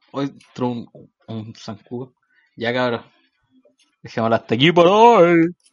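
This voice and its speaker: Speaking at a fairly slow pace with long, frequent pauses, a man uses lively intonation at a medium pitch. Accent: Chilean. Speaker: podcast co-host. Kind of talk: casual chat.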